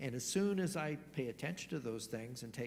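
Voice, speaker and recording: Audible room echo surrounds a man speaking at a moderate pace in a medium pitch, somewhat breathy. His pitch swings very widely. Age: 60s. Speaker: church lay leader. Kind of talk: sermon.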